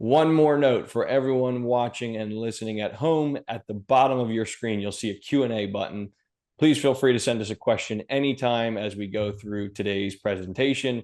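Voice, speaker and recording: A man with an American accent and an ordinary speaking voice talks at a moderate pace and medium pitch, with ordinary pitch variation and hardly any pauses, over a quiet background. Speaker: financial planner. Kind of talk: webinar presentation. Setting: video call.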